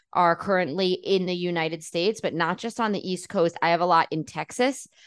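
A woman with a New York accent, medium pitch and ordinary pitch variation at a moderate pace, against a quiet background. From New York City, Queens. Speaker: journalist and podcast host. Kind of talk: interview.

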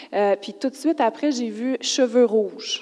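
Her tone is dark and mellow, and her pitch varies in an ordinary way. The woman talks at a very slow pace. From Quebec, Lac-Saint-Jean. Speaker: churchgoer. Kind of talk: testimony. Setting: church.

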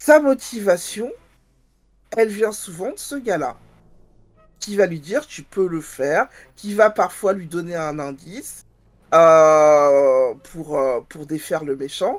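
The delivery is very slow, broken by long, frequent pauses. Pitch swings very widely and loudness shifts in big swings. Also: woman, fairly low pitch for a woman. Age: 40s. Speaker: librarian and podcaster. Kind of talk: casual chat.

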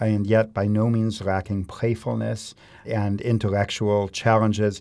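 A man with an American accent speaks at a moderate pace, his pitch fairly low and his tone dark and mellow. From Chicago suburbs, US Midwest. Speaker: harpsichordist. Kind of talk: interview.

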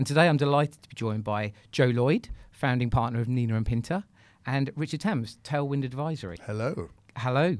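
A fairly quick delivery with a British accent, ordinary pitch variation, and a very clean recording over a silent background. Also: man, medium pitch for a man. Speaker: podcast host. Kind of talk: interview, casual professional chat.

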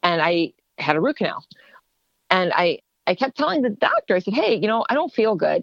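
A woman's unremarkable speaking voice at a fairly quick pace. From Ohio, US. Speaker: HSCT patient and therapist. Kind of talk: personal testimony in interview.

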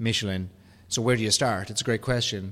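A man talks in an Irish accent. The recording is very clean, with a silent background. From Ireland. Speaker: podcast host. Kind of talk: business podcast discussion.

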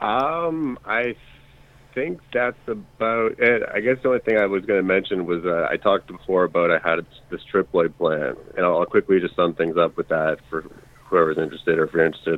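A man's unremarkable speaking voice, fairly low in pitch, at a fairly quick pace. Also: lively intonation. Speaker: caller. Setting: phone call.

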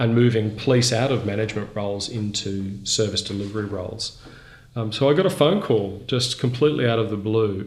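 Over noticeable background noise and audible room echo, a man speaks at a fairly quick pace with a fairly low pitch and ordinary pitch variation. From Brisbane, Australia. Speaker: charity chief executive. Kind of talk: interview.

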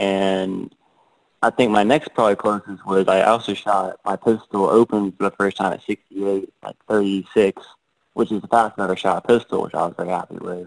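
A man with an American accent uses a normal speaking voice at a fairly low pitch and moderate pace, with fairly even intonation, a quiet background, and a dry, close sound with no echo. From Georgia, US South. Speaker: competitive shooter. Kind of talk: casual interview.

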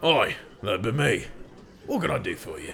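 With clear background noise behind him, a man puts on a raspy character voice at a moderate pace. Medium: actual play. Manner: gruff, blunt.

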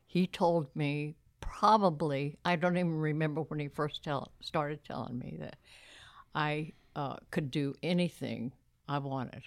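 On a very clean recording with a silent background, a woman with an American accent talks in a very deep, low pitch with fairly even intonation. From Texas. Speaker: church volunteer. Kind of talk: interview.

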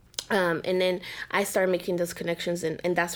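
Talking at a very fast pace, a woman with a fairly low pitch lets vocal fry creep into her voice. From Mexico City, Mexico. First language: Spanish. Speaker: mental health professional. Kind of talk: interview.

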